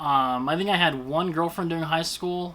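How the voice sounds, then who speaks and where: This man has a bright, sharp tone and a fairly high pitch. His intonation stays fairly even. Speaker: YouTuber, toy collector vlogger. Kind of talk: casual vlog monologue. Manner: stutters; halting, many fillers.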